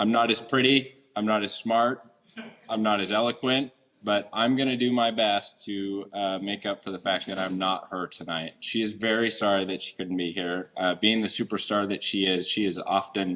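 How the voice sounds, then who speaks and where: A man talks loudly at a fairly low pitch in a bright, sharp tone. He keeps a moderate pace with fairly even intonation. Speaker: deputy police chief. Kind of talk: public speech. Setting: event hall with audience, microphone.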